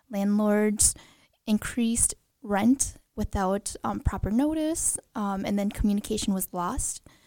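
A woman with an American accent speaks very slowly, her fairly high voice dark and mellow in tone. The recording is very clean, with a silent background. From Green Bay, Wisconsin, US Midwest. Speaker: equal rights commission chair. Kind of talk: casual interview. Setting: studio.

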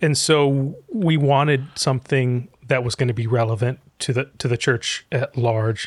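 This man speaks at a fairly slow pace with hardly any pauses, his medium-pitched voice somewhat breathy and his pitch variation ordinary. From Egypt, raised in US from childhood. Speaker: pastor and author. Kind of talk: interview conversation.

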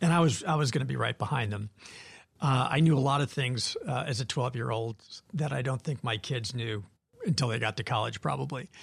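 There's vocal fry in this man's medium-pitched voice. He talks at a fairly quick pace with ordinary pitch variation. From Wisconsin, Janesville. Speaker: nonprofit CEO and former federal agency head. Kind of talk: interview.

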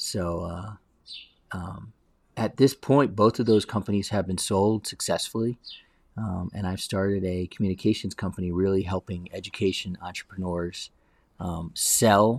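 Moderate pace and fairly even intonation. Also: man, fairly low pitch for a man. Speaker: entrepreneur. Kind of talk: interview conversation. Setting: video call. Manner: conversational, hesitant with fillers.

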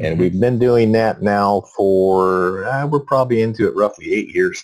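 The man has a normal speaking voice with a fairly low pitch. He talks at a moderate pace with lively intonation. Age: 60s. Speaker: farmer. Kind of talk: interview.

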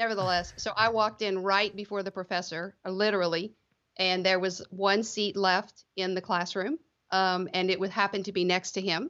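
At a moderate pace, a woman with a South Louisiana accent speaks at medium pitch in a monotone, flat intonation. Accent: South Louisiana Southern US. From US South, Lafayette, South Louisiana. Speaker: tax attorney, law firm co-founder. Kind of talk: casual interview.

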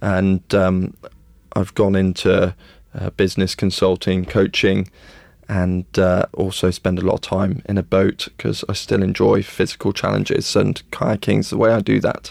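On a very clean recording with a silent background, a man speaks in a very deep, low voice, monotone and flat, at a fairly slow pace, the sound dry and close with no echo. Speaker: leadership consultant and former military officer. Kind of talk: interview.

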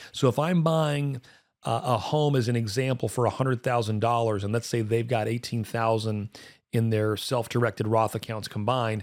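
On a very clean recording with a silent background, a man speaks at a moderate pace and medium pitch with ordinary pitch variation. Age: 40s. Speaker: finance podcast host. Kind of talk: casual chat. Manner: animated.

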